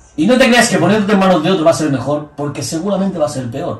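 A man talks at a very fast pace in a high pitch. Audible room echo surrounds his voice. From Spain. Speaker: bodybuilding coach and former competitor; bodybuilding coach. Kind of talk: casual chat. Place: office.

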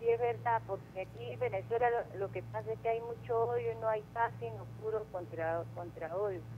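A moderate pace with hardly any pauses over light background noise. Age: 50s. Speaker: caller. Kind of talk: casual chat. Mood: earnest, concerned. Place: studio.

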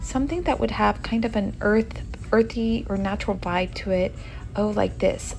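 Faint music sounds in the background as a woman speaks at a fairly slow pace. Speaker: home decor vlogger. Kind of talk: casual vlog chat. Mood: upbeat, enthusiastic. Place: shop. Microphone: phone near.

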